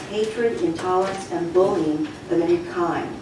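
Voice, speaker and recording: Against noticeable background noise and audible room echo, a woman speaks at a moderate pace. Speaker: retired resident giving public comment. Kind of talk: prepared public comment. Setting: township committee meeting. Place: meeting room.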